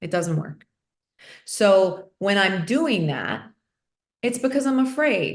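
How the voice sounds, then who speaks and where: A plain, everyday voice at a fairly slow pace, over a quiet background. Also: woman. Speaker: podcast host. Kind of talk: conversational interview talk.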